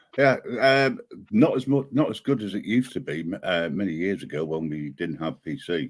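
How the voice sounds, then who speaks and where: In a very clean recording with a silent background, a man with a British accent speaks at a moderate pace in a very deep, low voice that makes very wide pitch swings. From Great Britain. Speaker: panelist. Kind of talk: casual chat.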